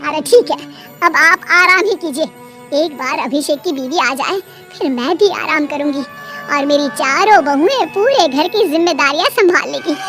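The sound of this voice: Over clear music in the background, a woman performs a cartoonish character voice with a high pitch. She keeps a moderate pace.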